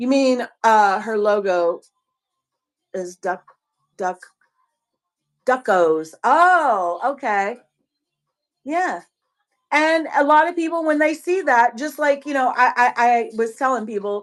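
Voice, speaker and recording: A woman with an American accent speaks very slowly at a high pitch, taking long, frequent pauses. Her pitch swings very widely. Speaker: online seller and live-stream host. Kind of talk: casual live-stream chat.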